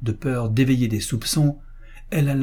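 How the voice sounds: The clip presents a natural reading voice.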